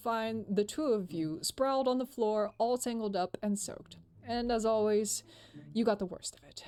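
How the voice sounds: The text is delivered in a natural reading voice.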